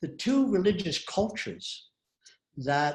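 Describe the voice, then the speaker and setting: A man speaks in a somewhat breathy voice. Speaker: author and retired university president. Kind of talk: interview answering audience questions.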